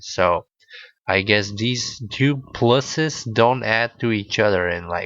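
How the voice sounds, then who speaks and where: With a Bulgarian accent, a man speaks very slowly at a medium pitch and with ordinary pitch variation. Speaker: podcaster. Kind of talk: casual storytelling monologue. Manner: hesitant, many fillers.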